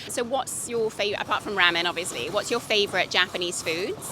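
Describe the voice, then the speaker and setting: Woman with a British accent, medium pitch and ordinary pitch variation, talking at a fairly quick pace with hardly any pauses over music in the background. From Britain. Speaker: street interviewer. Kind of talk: street interview.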